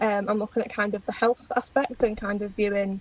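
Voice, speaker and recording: A woman speaks at a moderate pace and medium pitch, in a monotone, flat intonation with a slight Liverpool accent. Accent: slight Liverpool twang. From England, Liverpool area. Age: 20s. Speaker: PhD researcher, podcast guest. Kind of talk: casual interview chat.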